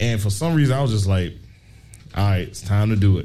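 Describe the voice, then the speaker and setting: A man speaks with a fairly low pitch and a dark, mellow tone. His voice is somewhat breathy, with audible room echo. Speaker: podcast host. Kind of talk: live podcast panel talk. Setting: brewery with live audience.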